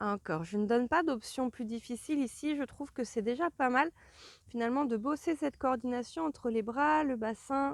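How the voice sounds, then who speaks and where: Recorded very cleanly against a silent background, a woman's high voice comes through dry and close with no echo, her pitch varying in an ordinary way. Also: moderate pace. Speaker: Pilates instructor. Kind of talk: guided exercise class.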